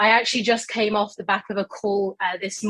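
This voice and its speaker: A woman with a British accent at a medium pitch, a moderate pace and fairly even intonation, in a dry, close sound with no echo. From global south. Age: young. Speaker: youth climate advocate. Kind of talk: panel discussion.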